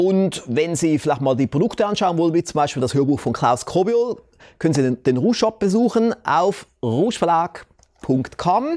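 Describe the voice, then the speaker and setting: With very wide pitch swings, the man's high voice moves at a moderate speed. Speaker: talk show host and entrepreneur. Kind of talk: sales pitch; interview.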